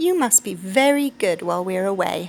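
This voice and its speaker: Putting on a character voice, a woman speaks at a medium pitch and a moderate pace. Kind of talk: picture book read aloud. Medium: read story. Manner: scolding.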